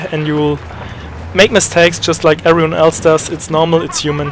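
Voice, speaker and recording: With noticeable background noise behind him, a man speaks in a German accent at a fairly high pitch. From Germany. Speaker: gaming YouTuber. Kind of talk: tutorial. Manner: hesitant, many fillers.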